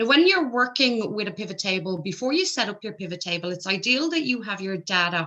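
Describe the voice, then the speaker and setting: Her tone is bright and sharp. The woman talks at a fairly quick pace with an Irish accent. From Ireland. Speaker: accountant and spreadsheet trainer. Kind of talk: tutorial.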